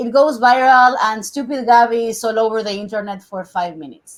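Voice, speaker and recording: A woman with a Spanish accent and a high pitch speaks at a moderate pace with ordinary pitch variation in a very clean recording with a silent background. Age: 40s. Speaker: TV host and journalist. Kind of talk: interview.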